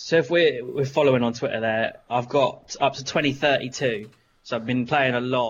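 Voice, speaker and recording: A man with a normal speaking voice talks at a medium pitch and a moderate pace, keeping his intonation fairly even. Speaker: podcast host. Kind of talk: casual chat.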